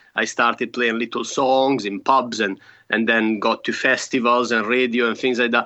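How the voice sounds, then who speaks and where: A man at medium pitch, monotone and flat, at a moderate pace. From Italy, near Milan. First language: Italian. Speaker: folk musician and double bass player. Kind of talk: interview. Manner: halting, many repetitions and fillers.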